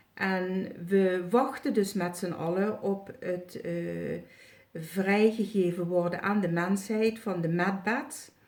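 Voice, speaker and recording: A woman at medium pitch, at a very slow pace, with fairly even intonation. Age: 60s. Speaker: retired healer and psychic. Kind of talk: testimonial video review. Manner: halting, many filler sounds.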